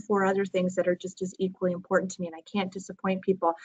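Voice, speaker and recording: A woman speaks very fast in a somewhat breathy voice. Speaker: podcast host and entrepreneur. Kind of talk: casual webinar chat. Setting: webinar recorded at company headquarters. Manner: animated.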